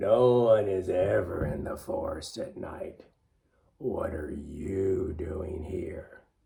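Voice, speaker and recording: A man puts on a raspy character voice at medium pitch. He speaks at a very slow pace. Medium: read story.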